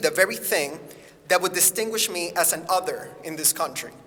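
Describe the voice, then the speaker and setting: At a moderate pace, a man with a high pitch speaks with ordinary pitch variation over noticeable background noise. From Puerto Rico. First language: Spanish. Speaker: acting teacher. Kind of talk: personal essay read aloud to students.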